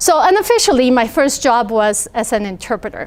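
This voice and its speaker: The speaker has a Spanish accent and talks at a fairly slow pace. The pitch swings very widely. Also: woman. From Idaho. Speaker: entrepreneur, translation company founder. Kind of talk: talk to students.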